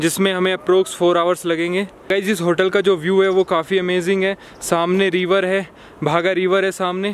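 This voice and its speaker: This man's voice sits high for a man and moves at a moderate pace in a flat monotone, with a dry, echo-free sound over light background noise. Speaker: travel vlogger. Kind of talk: casual vlog chat. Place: street. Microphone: phone near.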